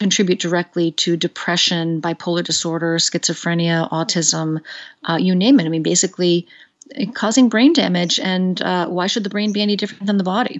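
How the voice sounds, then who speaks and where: A woman talks in a normal speaking voice, her pitch fairly low with ordinary variation. She keeps a moderate pace. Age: 50s. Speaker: psychiatrist. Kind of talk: interview. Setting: phone call.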